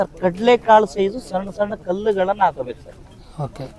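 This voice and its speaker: Noticeable noise fills the background. The man's voice sits high in pitch. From India, Puttur, Dakshina Kannada. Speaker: farmer and inventor selling his product. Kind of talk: sales pitch and product demonstration.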